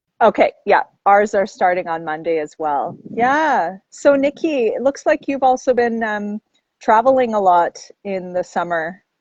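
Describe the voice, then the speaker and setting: Her voice fairly high, a woman speaks with very wide pitch swings. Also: fairly slow pace. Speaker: architect and geomancer. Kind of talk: casual chat. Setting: outdoors on construction site, video call. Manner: loud.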